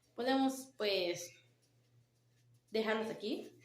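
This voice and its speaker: Audible room echo surrounds a woman speaking at a medium pitch with ordinary pitch variation. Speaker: nursing student. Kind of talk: class presentation. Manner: halting.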